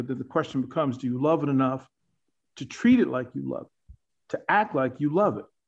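This man has an unremarkable speaking voice at medium pitch, moving at a fairly quick pace with big swings in loudness. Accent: American. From Arlington, Virginia. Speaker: sportscaster and coach. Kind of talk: casual chat.

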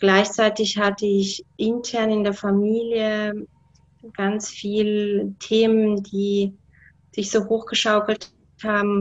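At a very slow pace, a woman with a medium-pitched voice speaks in a monotone, flat intonation against a quiet background. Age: 40s. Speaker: guest sharing health story. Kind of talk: interview testimony. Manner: hesitant with many fillers.

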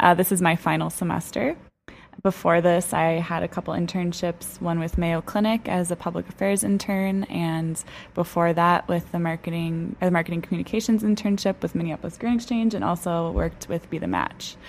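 A woman with an American accent talks at a fairly quick pace, with an unremarkable speaking voice. Her pitch sits fairly low and her intonation stays fairly even. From Wisconsin, Milwaukee area. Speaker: marketing intern. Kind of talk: casual chat. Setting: studio.

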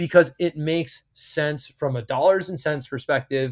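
On a very clean recording with a silent background, a man in an American accent at a moderate pace with ordinary pitch variation. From US, New York area. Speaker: cannabis venture investor. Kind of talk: interview.

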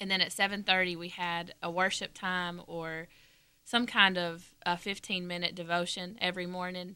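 A woman's fairly low, bright, sharp voice with a Southern US accent, flat monotone intonation, and a moderate pace. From northwest Georgia, US. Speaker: former mission school student. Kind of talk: casual interview. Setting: studio.

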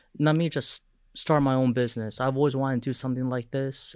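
Very clean recording, silent background. A man at medium pitch speaks at a fairly quick pace in a monotone, flat intonation. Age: 40s. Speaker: food business founder. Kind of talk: interview. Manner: halting.

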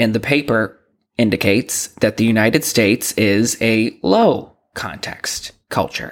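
Here a man with an American accent talks in a normal speaking voice at a medium pitch. His pace is fairly slow and his intonation fairly even. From Boston. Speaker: podcast host. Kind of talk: solo podcast monologue.

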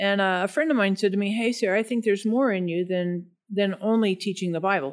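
A woman with an ordinary speaking voice and a General American accent, medium pitch with ordinary variation, moderate pace, on a very clean recording with a silent background. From Denver, Colorado, US. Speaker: pastor and Bible teacher. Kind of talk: casual interview chat.

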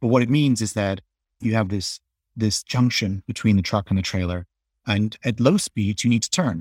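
In a dry, close sound with no echo and a silent background on a very clean recording, a man with a slight English accent speaks at a moderate pace, his fairly low pitch varying in an ordinary way. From England. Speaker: company co-founder and CEO. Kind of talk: casual interview.

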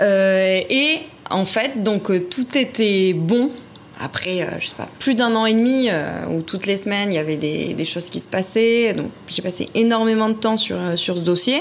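Noticeable background noise accompanies a woman speaking at a fairly slow pace. Her pitch is medium, with ordinary variation. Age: 30s. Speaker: property investor. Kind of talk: interview.

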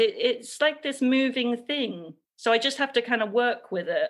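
A woman with a high pitch speaks in an English accent at a fairly slow pace. The recording is very clean, with a silent background. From England. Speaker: textile artist and creative coach. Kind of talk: interview.

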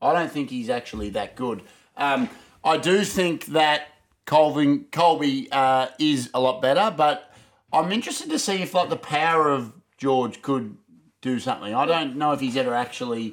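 This man has a fairly high pitch and lively intonation with an Australian accent, in a very clean recording against a silent background. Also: moderate pace. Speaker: podcast co-host. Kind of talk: casual chat. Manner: animated.

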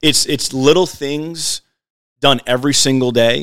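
This man has a medium pitch and ordinary pitch variation at a moderate pace. The sound is dry and close with no echo. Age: 30s. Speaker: podcast co-host. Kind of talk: casual chat. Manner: animated.

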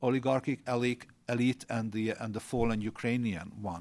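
On a very clean recording with a silent background, a man speaks at a moderate pace in a Hungarian accent with fairly even intonation. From Hungary. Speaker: former government minister. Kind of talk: panel discussion. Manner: halting.

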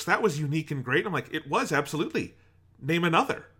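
Very fast and fairly high-pitched, this man's voice has a bright, sharp tone with vocal fry. The recording is very clean, with a silent background. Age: 20s. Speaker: PhD candidate in film studies and podcast co-host. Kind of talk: casual chat.

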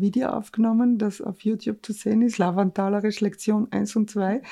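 A woman with a dark, mellow tone speaks at medium pitch and a moderate pace, her intonation monotone and flat against a quiet background. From Carinthia, Lavant valley. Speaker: podcast host and author. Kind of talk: casual interview; scripted show intro.

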